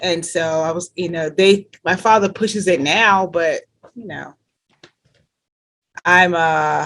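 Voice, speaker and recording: A woman's very slow, fairly low-pitched speech with a slight New Jersey accent, fairly even intonation and long, frequent pauses. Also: big swings in loudness. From New Jersey, US, Caribbean-born parents. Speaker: health care worker, church member. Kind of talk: interview. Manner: hesitant, many fillers.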